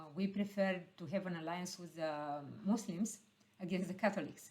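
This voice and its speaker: A woman with a Romanian accent speaks at a moderate pace. Her voice is somewhat breathy, with ordinary pitch variation. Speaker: heritage expert. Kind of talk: panel discussion. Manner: halting, many fillers.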